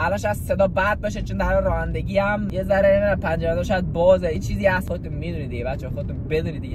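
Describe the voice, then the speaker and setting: Both noticeable background noise and audible room echo surround a man's voice. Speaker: YouTuber / vlogger. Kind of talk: casual vlog while driving. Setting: in a car. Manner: fast; animated.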